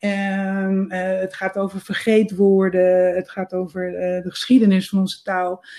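A dark, mellow tone in flat, monotone intonation, at a fairly slow pace. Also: woman, medium pitch for a woman. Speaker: freelance copywriter and editor. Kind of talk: interview.

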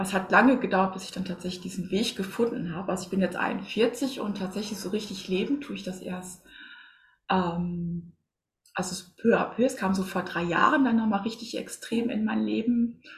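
At a moderate pace, a woman speaks at medium pitch with ordinary pitch variation and a somewhat breathy quality. Her loudness swings widely. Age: 40s. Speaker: spiritual coach and medium. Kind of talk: casual interview.

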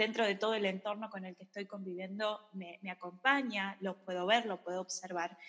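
This woman has an unremarkable speaking voice, medium in pitch, moving at a moderate pace with fairly even intonation. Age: 30s. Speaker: psychologist and yoga teacher. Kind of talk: casual chat.

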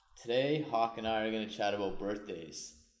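Room echo is audible as a man talks at a very fast pace. His pitch is medium. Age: 30s. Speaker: podcast host. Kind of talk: show intro and outro; casual chat.

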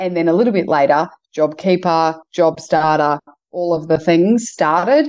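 With an Australian accent, a woman talks at a moderate pace with ordinary pitch variation. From Queensland, Australia. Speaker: entrepreneur and community development leader. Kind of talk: interview.

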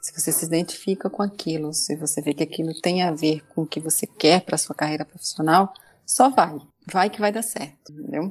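Delivery is fairly quick. The voice rises and falls in an ordinary way. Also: woman, fairly low pitch for a woman. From Brazilian Northeast. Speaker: data protection specialist. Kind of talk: interview.

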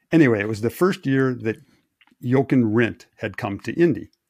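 This man has an unremarkable speaking voice, medium in pitch, with an American accent and ordinary pitch variation. The recording is very clean with a silent background, and the sound is dry and close with no echo. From Wisconsin. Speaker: race engineer. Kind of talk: casual chat.

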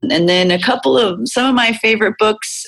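A woman speaks with an unremarkable speaking voice. Her pitch variation is ordinary. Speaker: performance coach. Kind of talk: interview conversation.

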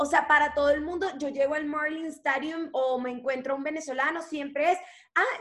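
A woman speaks in a raised, projected voice. Her tone is bright and sharp, her pitch high. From Venezuela, Maracaibo. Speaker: actress and singer. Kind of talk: casual interview.

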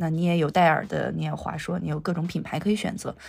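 The speaker is a woman. Her voice has vocal fry. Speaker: digital cinema technology researcher. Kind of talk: casual interview.

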